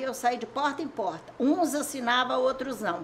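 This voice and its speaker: Against noticeable background noise, the words come out at a fairly slow pace. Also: woman. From Aimorés, Minas Gerais, Brazil. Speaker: longtime resident sharing local history. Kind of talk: oral history interview. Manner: rambling storytelling.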